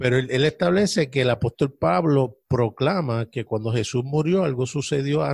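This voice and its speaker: At a fairly slow pace, a man with a medium pitch speaks in a somewhat breathy voice with lively intonation. The recording is very clean and silent behind him, with a dry, close sound and no echo. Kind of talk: casual religious discussion.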